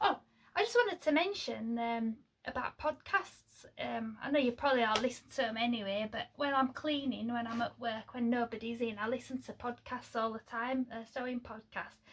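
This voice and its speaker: Over noticeable background noise, a woman with a Lincolnshire accent talks at a moderate pace in a high pitch with ordinary pitch variation. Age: 40s. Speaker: sewing vlogger. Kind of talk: casual vlog chat. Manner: chatty, hesitant with many fillers.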